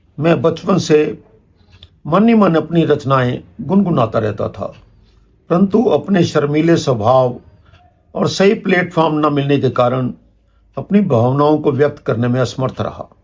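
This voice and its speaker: A man's somewhat breathy, fairly high voice with lively intonation. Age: 70s. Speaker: retired amateur poet. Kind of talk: channel address to viewers. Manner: formal.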